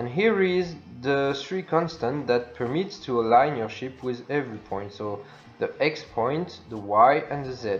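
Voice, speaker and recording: With a non-native accent and a fairly high pitch, a man talks at a fairly slow pace with very wide pitch swings. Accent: non-native English, self-described imperfect. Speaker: video game tutorial creator. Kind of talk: tutorial. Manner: halting, many fillers.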